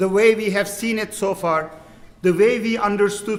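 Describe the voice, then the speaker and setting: Noticeable background noise behind a man with a strong Turkish accent, high in pitch, at a moderate pace with fairly even intonation. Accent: thick Turkish. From Turkey. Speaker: imam. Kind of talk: panel dialogue. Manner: halting.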